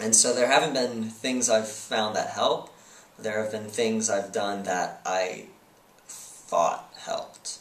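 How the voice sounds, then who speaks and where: Speaking very slowly, a man keeps a medium pitch and fairly even intonation. Noticeable background noise and audible room echo are present. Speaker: person who stutters, interviewed. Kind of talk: interview. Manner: halting, with blocks and repetitions.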